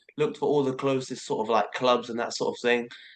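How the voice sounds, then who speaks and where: This man talks at a very fast pace with a medium pitch. His intonation is monotone and flat. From southern England, Dorset. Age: 20s. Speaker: boxer and calisthenics athlete. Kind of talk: casual interview.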